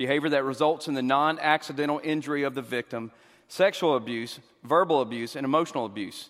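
With a Southern US accent, a man speaks at a very fast pace with ordinary pitch variation on a very clean recording with a silent background. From US South. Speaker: pastor and counselor. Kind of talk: church Q and A discussion. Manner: fast talker.

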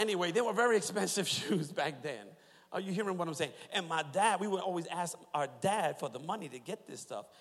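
A man at a high pitch, animated in tone, with lively intonation and a fairly quick pace. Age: 40s. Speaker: pastor. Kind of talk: sermon. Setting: church.

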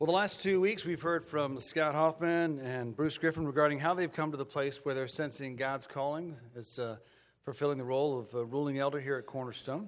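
With an ordinary speaking voice, a man talks at a fairly quick pace with a fairly high pitch and ordinary pitch variation in a very clean recording with a silent background. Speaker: church pastor introducing candidate. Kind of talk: church announcement and introduction. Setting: church.

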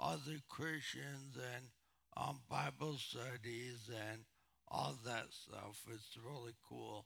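Vocal fry runs through a man's bright, sharp tone. He talks very slowly, with ordinary pitch variation. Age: 40s. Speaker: brain injury survivor. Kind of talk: testimony. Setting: church with audience. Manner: halting.

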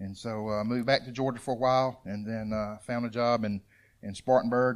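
A man with a Southern US accent speaks at a moderate pace in a medium pitch, his intonation monotone and flat, on a very clean recording with a silent background. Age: 50s. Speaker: churchgoer, father of eight. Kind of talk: testimony. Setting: church.

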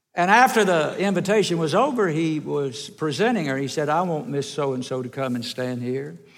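A man with a Southern US accent talks at a moderate pace with hardly any pauses, his fairly high pitch carried by lively intonation. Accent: US South. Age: old. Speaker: evangelist. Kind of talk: sermon. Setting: church.

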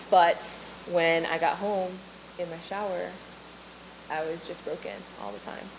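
A woman with a fairly low voice speaks with lively intonation, long, frequent pauses and big swings in loudness. Noticeable background noise and audible room echo fill the recording. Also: moderate pace. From Maui, Hawaii. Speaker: ministry leader. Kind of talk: testimony.

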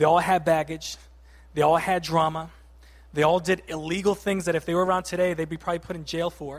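A high-pitched man with an American accent speaks at a very fast pace in monotone, flat intonation on a very clean recording with a silent background. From Boston, Massachusetts. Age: 30s. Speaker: lay preacher. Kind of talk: sermon. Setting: church.

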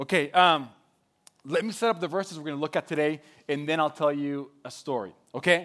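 Over a silent background on a very clean recording, a man with a Spanish accent talks at a moderate pace, his fairly high pitch carrying lively intonation. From Mexico. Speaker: pastor. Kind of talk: sermon. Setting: church.

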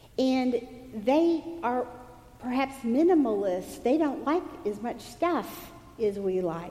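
With an American accent and a high pitch, a woman speaks at a very slow pace with very wide pitch swings and long, frequent pauses, over noticeable background noise and audible room echo. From East Texas. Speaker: pastor. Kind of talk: sermon. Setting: church.

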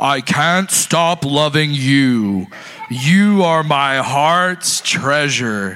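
Light background noise sits behind a man's put-on character voice. He talks at a very slow pace and a fairly high pitch. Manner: loving, solemn.

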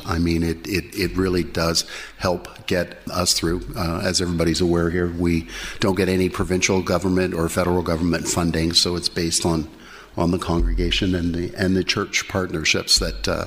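Flat, monotone speech at a moderate pace runs over noticeable background noise. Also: man. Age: old. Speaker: addiction recovery program team lead. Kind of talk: testimony.

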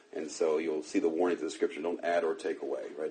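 Noticeable noise fills the background while a man rattles along very fast. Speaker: pastor teaching a preaching class. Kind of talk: lecture.

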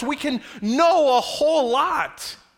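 A man with an American accent speaks in a raised, projected voice. His tone is bright and sharp. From Upstate New York, then South Carolina from age 15. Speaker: pastor. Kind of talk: sermon. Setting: church. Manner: conversational, audience-engaging.

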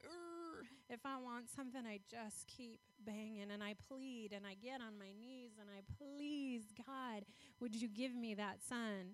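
Her pitch fairly high and its variation ordinary, a woman talks in a plain, everyday voice. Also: fairly slow pace. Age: 40s. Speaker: guest speaker for a foster care charity. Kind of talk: sermon.

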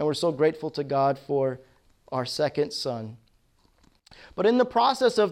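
A man speaks with an American accent. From Nigeria, Armenian family, US from childhood. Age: 30s. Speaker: pastor. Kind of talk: testimony. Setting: video call.

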